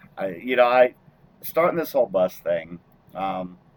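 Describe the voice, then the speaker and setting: At a moderate pace, a man speaks in a dry, close recording with no echo. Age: 60s. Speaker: truck driver and podcast host. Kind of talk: casual chat.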